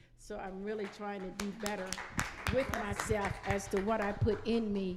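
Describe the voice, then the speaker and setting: Speaking at a moderate pace, a woman uses a medium pitch and a monotone, flat intonation, with noticeable background noise and audible room echo. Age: 60s. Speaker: church women's event panelist. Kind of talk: panel discussion.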